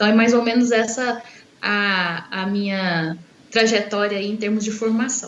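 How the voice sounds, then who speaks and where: A woman with a Minas Gerais accent, fairly high in pitch, at a fairly slow pace with fairly even intonation, amid noticeable background noise and audible room echo. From Minas Gerais, Brazil. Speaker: university professor. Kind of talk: interview.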